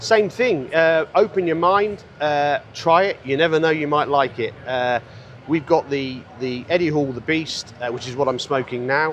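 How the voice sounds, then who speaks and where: Noticeable background noise sits behind a man with a British accent who speaks at a fairly slow pace. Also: ordinary pitch variation. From UK. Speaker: cigar brand founder. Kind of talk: interview. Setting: trade show floor.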